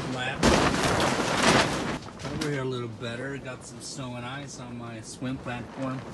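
A man's voice against loud background noise. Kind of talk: casual vlog chat. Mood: concerned about storm damage. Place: boat. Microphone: phone near.

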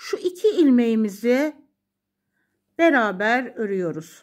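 A woman's high-pitched voice with very wide pitch swings, at a very slow pace, on a very clean recording with a silent background. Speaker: knitting channel host. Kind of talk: tutorial.

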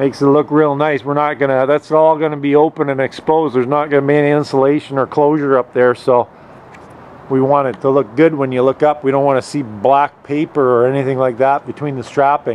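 Over light background noise, a man talks at a fairly quick pace with monotone, flat intonation. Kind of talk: casual vlog chat. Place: open country. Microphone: phone near.

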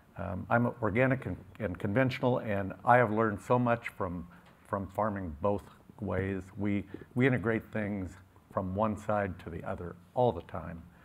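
A man with an unremarkable speaking voice talks at a moderate pace, his fairly low pitch showing ordinary variation. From California, US. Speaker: farmer. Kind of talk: conference panel discussion. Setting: stage with audience.

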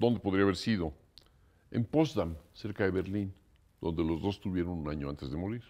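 A man with a very deep, low pitch and a dark, mellow tone uses lively intonation. He keeps a moderate pace, with long, frequent pauses. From Mexico. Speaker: composer; interviewee. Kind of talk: interview. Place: home room.

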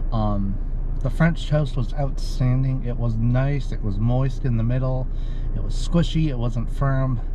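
At a fairly slow pace, a man speaks over noticeable background noise, the sound dry with no echo. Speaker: food reviewer. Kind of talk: casual vlog chat. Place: car. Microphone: phone near.

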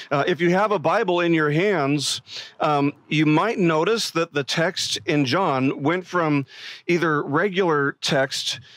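Against a quiet background, a man speaks at a fairly slow pace with ordinary pitch variation and very even loudness, the sound dry with no echo. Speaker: pastor. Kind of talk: sermon. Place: stage. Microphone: headset.

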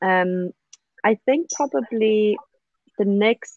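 Over a quiet background, a woman speaks at a very slow pace with ordinary pitch variation in a dry sound with no echo. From South Africa. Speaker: social media professional; interview guest. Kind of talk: casual interview. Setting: video call. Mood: reflective, hesitant. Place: garden. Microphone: video call.

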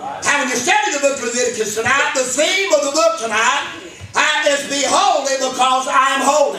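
A man's raised, projected voice at an extremely high pitch and a fairly quick pace, with audible room echo and light background noise. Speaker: preacher. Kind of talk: sermon delivered to a congregation. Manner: emphatic, preaching cadence with congregation responses. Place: church. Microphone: camera far.

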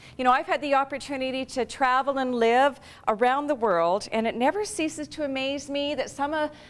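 At a moderate pace, a woman talks in a high pitch with ordinary pitch variation. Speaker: puppeteer and voice actor. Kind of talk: conference talk. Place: stage.

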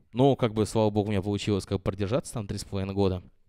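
Against a quiet background, a man speaks at a fairly low pitch with a dark, mellow tone. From Russia, Ulyanovsk; Russia. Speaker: DJ; DJ giving a master class. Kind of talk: master class lecture. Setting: classroom with live audience. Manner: halting, many fillers. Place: classroom. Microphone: handheld.

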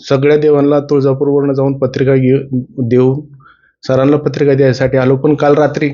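A fairly high-pitched man's voice, monotone and flat, at a very even loudness. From Maharashtra, Baramati, Pune district. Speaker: driver and devotee. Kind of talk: personal testimony.

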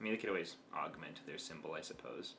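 A man speaks at a very fast pace. Light background noise can be heard. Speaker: reaction video host. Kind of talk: casual reaction commentary. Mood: engaged, warm. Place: home room. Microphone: webcam.

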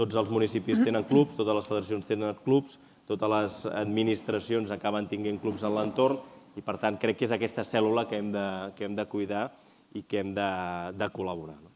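With light background noise, a man speaks at a moderate pace, his fairly low pitch following fairly even intonation. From Catalonia. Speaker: sports federation president; panelist. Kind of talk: panel discussion. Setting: stage with audience. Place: hall. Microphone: lapel.

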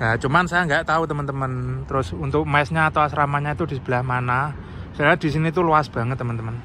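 Very fast speech from a man with fairly high pitch and ordinary pitch variation, over light background noise. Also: dry sound with no echo. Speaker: vlogger. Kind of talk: casual vlog narration. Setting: outdoors. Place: street. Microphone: phone near.

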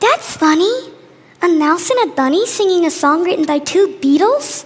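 Putting on a cartoonish character voice, a woman speaks at a moderate pace and an extremely high pitch. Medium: puppet show. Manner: sassy, diva attitude.

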